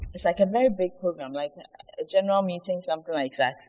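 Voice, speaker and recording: A woman's somewhat breathy voice. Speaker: pastor's wife. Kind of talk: testimony.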